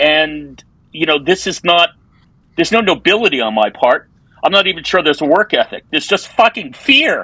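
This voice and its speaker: With an American accent, a man talks at a fairly quick pace in a high voice, the sound dry and close with no echo. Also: lively intonation. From New York. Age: 60s. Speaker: advertising copywriter. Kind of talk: casual interview conversation.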